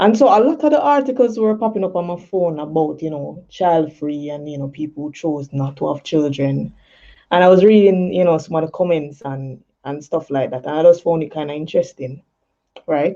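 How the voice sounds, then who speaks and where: At a fairly quick pace, a woman with a Jamaican accent speaks in a very deep, low, dark and mellow voice, with ordinary pitch variation and big swings in loudness. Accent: Jamaican, patois creeping in. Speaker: poet and talk show host. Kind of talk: casual talk show monologue. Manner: casual, many fillers.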